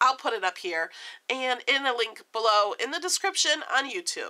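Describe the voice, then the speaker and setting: With a bright, sharp tone, a woman talks at a moderate pace, her pitch swinging very widely. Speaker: vlogger. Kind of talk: casual vlog.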